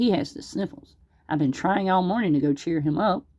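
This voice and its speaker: A female-sounding put-on character voice moves at a fairly quick pace in a middle pitch. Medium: read story.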